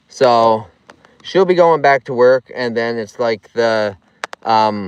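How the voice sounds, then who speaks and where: Very slowly, a man talks with a strong Nova Scotian accent and lively intonation. The sound is dry and close, with no echo. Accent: heavy Nova Scotian. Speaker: vlogger. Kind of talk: live stream chat. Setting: outdoors on a lake. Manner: casual, repetitive.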